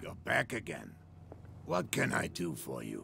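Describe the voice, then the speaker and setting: Clear background noise runs behind a man doing a put-on character voice. His raspy voice is pitched very deep and low, and he talks at a moderate pace. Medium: video game. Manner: calm, polite.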